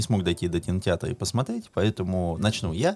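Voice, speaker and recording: Speaking with ordinary pitch variation, the man has a very deep, low voice. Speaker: podcast co-host. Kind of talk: casual chat.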